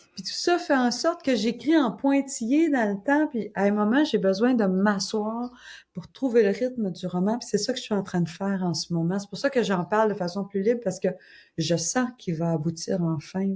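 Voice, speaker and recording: With a Quebec accent, a woman speaks at a moderate pace in a somewhat breathy, medium-pitched voice with lively intonation, on a very clean recording with a silent background. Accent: Québécois. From Quebec, Gaspésie (Caplan). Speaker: crime novelist. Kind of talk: interview. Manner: casual, conversational.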